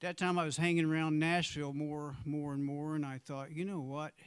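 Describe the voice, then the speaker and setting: In an American accent, a man talks at a moderate pace with monotone, flat intonation. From US Midwest, southeast Missouri (Jackson, near Cape Girardeau). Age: 60s. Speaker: blues and Americana singer-songwriter. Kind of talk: casual stage banter between songs. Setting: small live venue with intimate audience, livestreamed. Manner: halting, conversational, with fillers.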